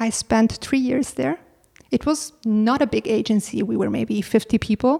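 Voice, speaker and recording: A woman speaks at a moderate pace in a fairly high pitch, her dark, mellow tone somewhat breathy and her intonation lively, with a dry, close sound and no echo. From Italy. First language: Italian. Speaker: advertising creative director. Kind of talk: casual interview. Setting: home apartment.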